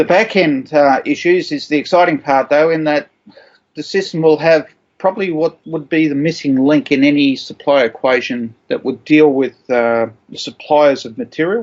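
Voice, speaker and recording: A man with an Australian accent talks at a moderate pace in a fairly high pitch with ordinary pitch variation. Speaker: supply chain professional, army veteran. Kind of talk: interview answer. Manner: hesitant, many fillers.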